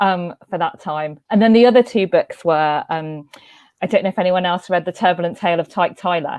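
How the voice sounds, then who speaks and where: A woman with a London accent and medium pitch speaks at a fairly quick pace with ordinary pitch variation. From West London, England. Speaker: panelist. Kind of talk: panel discussion.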